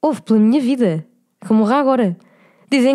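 A woman talks at a fairly quick pace in a fairly high voice with ordinary pitch variation. It is an unremarkable speaking voice. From Cascais, Portugal. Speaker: podcast host. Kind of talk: casual chat.

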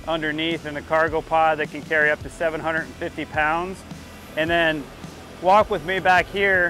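Clear music plays in the background as a man speaks at a moderate pace in a flat monotone, the sound dry with no echo. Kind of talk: casual vlog chat. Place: street.

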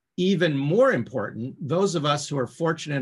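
This is a man's voice, somewhat breathy. He speaks at a moderate pace. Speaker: professor, guest. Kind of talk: lecture. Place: home room. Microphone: video call.

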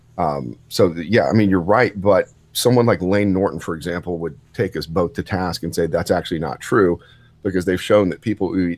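With music playing behind him, a man with a very deep, low pitch speaks at a fairly quick pace and ordinary pitch variation. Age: 30s. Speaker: podcast guest, lifter. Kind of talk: casual chat.

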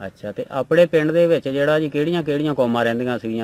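Against light background noise, a man speaks with ordinary pitch variation in a dry sound with no echo. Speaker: interviewer. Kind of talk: interview questions. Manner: polite, respectful. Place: farm. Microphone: handheld.

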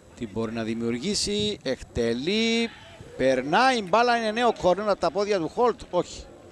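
Noticeable background noise accompanies a man speaking high for his sex at a fairly slow pace, with very wide pitch swings. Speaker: football commentator. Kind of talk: live football commentary. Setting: broadcast voice-over on match footage.

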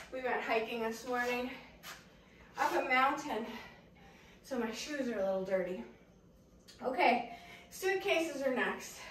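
A woman's high voice at a fairly slow pace with long, frequent pauses, audible room echo, and light background noise. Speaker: fitness instructor. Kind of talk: workout instruction. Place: garden. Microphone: camera far.

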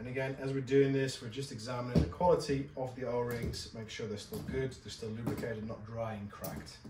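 Music plays behind a man who talks at a fairly quick pace with hardly any pauses and ordinary pitch variation. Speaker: dive gear instructor. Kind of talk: tutorial. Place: shop.

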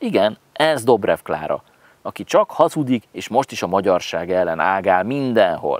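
A man is speaking. The sound is dry, with no echo. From Hungary. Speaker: political vlogger. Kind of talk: satirical political commentary. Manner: sarcastic. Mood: scornful, heated. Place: garden. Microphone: lapel.

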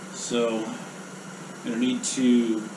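A man's pitch moves in an ordinary way as noticeable background noise carries on behind him. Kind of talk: tutorial. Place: workshop.

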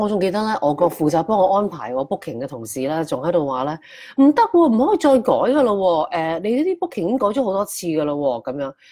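The speech races along very fast with hardly any pauses. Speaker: wellness shop owner and livestream host. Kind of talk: casual livestream talk. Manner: halting, many fillers.

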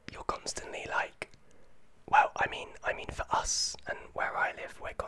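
Whispering at a moderate pace. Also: man. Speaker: vlogger. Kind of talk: casual vlog chat. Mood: thoughtful, slightly concerned. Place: home room. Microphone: studio mic.

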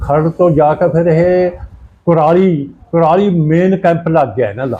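The man's pitch is high, with fairly even intonation. He has a dark, mellow tone. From Punjab, near Kurali. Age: 80s+. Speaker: partition survivor. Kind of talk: oral history interview answer.

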